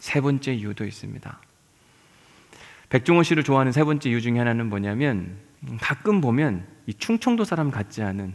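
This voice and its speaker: The speaker talks at a fairly quick clip with lively intonation. Long pauses come often. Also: man, medium pitch for a man. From South Chungcheong, Yesan. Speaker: pastor. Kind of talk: sermon.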